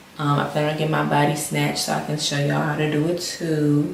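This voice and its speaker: Whispering with an American accent, a woman is heard through noticeable background noise and audible room echo. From Maryland, US. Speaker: lifestyle vlogger. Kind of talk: casual vlog update. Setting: home sit-down video.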